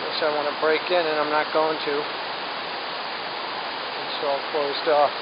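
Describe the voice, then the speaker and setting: A very slow pace beneath loud background noise. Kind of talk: casual vlog chat. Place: waterside. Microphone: phone near.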